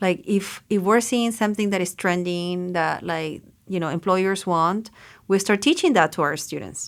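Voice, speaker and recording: A woman talks with a Chilean accent and ordinary pitch variation. The recording is very clean, with a silent background. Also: medium pitch for a woman, moderate pace. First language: Spanish. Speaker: education policy fellow. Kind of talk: podcast interview.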